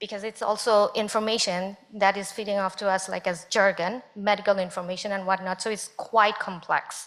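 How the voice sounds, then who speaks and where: A speaker with a non-native accent talks at a moderate pace with hardly any pauses, in a flat, monotone intonation. Noticeable noise sits in the background. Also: woman, medium pitch for a woman. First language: not English. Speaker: panel speaker. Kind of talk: panel discussion.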